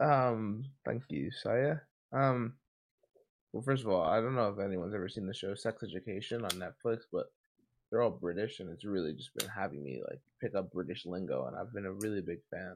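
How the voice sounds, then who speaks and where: A man with an American accent and an unremarkable speaking voice, fairly low in pitch, with lively intonation at a fairly quick pace over a quiet background. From New Jersey. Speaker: podcast co-host. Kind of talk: casual chat.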